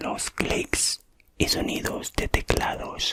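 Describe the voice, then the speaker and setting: A woman whispering in a calm tone over noticeable background noise. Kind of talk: ASMR relaxation narration. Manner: soft, calm, friendly.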